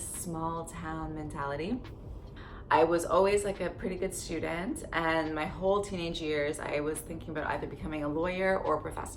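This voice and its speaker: Audible room echo and noticeable background noise surround a woman with a Canadian accent. Her fairly low voice keeps fairly even intonation at a moderate pace. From Canada, Barrie, Ontario. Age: 30s. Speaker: lifestyle vlogger. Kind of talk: casual storytelling vlog. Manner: chatty, lots of fillers.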